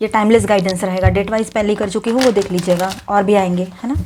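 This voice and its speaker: Quiet and fairly quick, a woman talks at a medium pitch with fairly even intonation. Noticeable background noise sits behind her. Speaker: tarot reader. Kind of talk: tarot reading.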